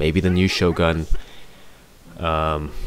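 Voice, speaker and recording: A man speaks at a very slow pace with a very deep, low pitch. Noticeable background noise is present. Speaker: gaming commentator. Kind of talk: gameplay commentary. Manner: halting, many fillers.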